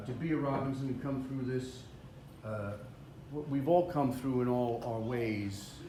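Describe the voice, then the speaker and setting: Against noticeable background noise, a man speaks at a medium pitch and a fairly slow pace. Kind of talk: emotional speech at family reunion. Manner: halting, hesitant.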